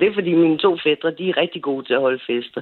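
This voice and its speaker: Her pitch fairly low for a woman, she talks at a moderate pace with ordinary pitch variation. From Copenhagen (Frederiksberg). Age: 40s. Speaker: caller. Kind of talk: personal story on call-in radio. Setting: phone call. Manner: halting.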